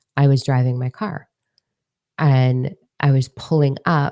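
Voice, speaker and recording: Her voice is very deep and low for a woman, with fairly even intonation. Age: 30s. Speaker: spiritual coach. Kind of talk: casual spiritual talk to viewers.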